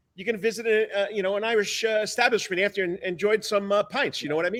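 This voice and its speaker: Speaking very fast in a New York accent, a man with a high pitch keeps his intonation fairly even. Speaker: sports talk show host, coach. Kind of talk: live sports talk show. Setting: studio sound stage. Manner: fast-talking.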